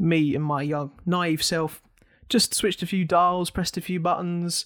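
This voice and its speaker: Over a very clean, silent background, a man speaks at a fairly slow pace with fairly even intonation. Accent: English. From England. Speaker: podcast host. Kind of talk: casual chat.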